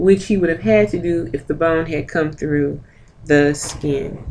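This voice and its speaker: A woman's fairly low voice at a moderate pace, lively in intonation, an ordinary speaking voice. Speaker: medical coding instructor. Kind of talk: lecture.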